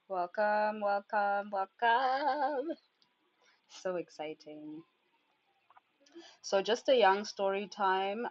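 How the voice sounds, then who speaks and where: A woman talks very slowly at a medium pitch. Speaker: human design teacher. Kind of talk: livestream workshop.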